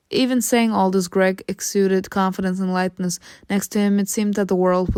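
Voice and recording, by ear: With fairly even intonation, the text is read aloud in a natural voice.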